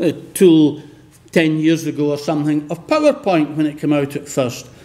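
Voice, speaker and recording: A man with a Scottish accent, with noticeable background noise. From west of Scotland. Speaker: professor. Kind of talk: lecture.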